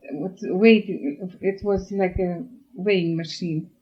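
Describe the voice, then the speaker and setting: Somewhat breathy, a woman's medium-pitched voice shows ordinary pitch variation. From Russia, German colonist village. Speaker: oral history interviewee. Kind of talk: life story interview.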